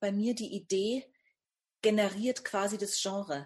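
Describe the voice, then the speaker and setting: A woman speaks at a medium pitch in a somewhat breathy voice, at a fairly slow pace. Her intonation is fairly even against a quiet background. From Upper Franconia, northern Bavaria (Bamberg). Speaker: novelist and screenwriter. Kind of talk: interview.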